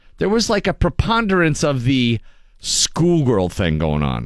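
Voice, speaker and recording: Speaking fairly slowly, a man keeps to a medium pitch with very wide pitch swings. The recording is very clean and the background silent. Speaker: radio host. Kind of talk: casual chat. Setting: studio.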